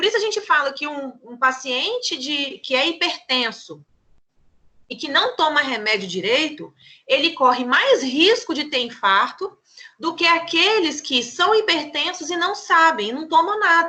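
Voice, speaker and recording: In a raised, projected voice with a bright, sharp tone, a woman speaks fairly slowly at a high pitch, with very wide pitch swings and big swings in loudness. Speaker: pharmacy teacher. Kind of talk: lecture.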